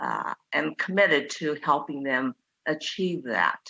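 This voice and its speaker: In a Chinese accent, a woman speaks at a fairly slow pace with lively intonation, in a dry, close sound with no echo. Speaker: museum founder. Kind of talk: public meeting presentation. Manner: halting, many fillers.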